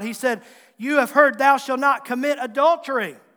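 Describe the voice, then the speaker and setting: Extremely high-pitched, a man speaks with a bright, sharp tone. The recording is very clean, with a silent background. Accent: American. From Southwest Virginia, Tazewell County. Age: 40s. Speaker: pastor. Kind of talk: sermon. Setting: church.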